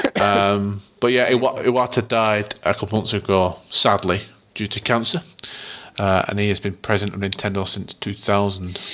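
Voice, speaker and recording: Fairly low in pitch, a man speaks at a moderate pace with fairly even intonation. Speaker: gaming podcast co-host. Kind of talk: casual chat. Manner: reading news from an article, script-like.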